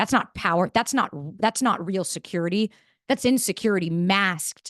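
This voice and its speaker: The speaker has an American accent and an animated tone, with ordinary pitch variation. The sound is dry and close, with no echo. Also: woman. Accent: sounds like New York, per audience. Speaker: entrepreneur and podcaster, speaker. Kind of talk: motivational talk to live audience. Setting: room with live audience. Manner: fast.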